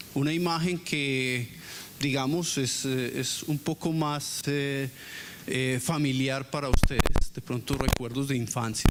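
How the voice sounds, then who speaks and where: Fairly high in pitch, a man talks at a very slow pace. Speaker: university professor. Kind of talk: lecture. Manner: monotone; hesitant, many fillers.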